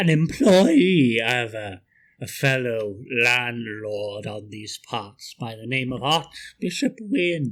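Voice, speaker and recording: A man's put-on character voice at a medium pitch, very slow in pace, with lively intonation. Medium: actual play. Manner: measured, hesitant, understated menace.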